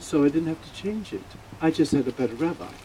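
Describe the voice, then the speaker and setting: Lively intonation from a man, noticeable background noise behind him. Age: 80s+. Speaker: funeral speaker, radio host. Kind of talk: eulogy. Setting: funeral. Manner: halting.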